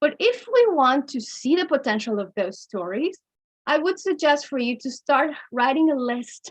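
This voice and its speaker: A woman with a Mexican accent speaks at a moderate pace in a high voice with lively intonation. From Mexico. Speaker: storytelling workshop presenter. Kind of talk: workshop lecture. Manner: occasional stumbles on pronunciation.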